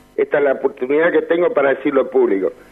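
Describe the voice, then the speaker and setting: A man speaks at a very fast pace. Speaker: caller. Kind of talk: phone call-in. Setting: phone call.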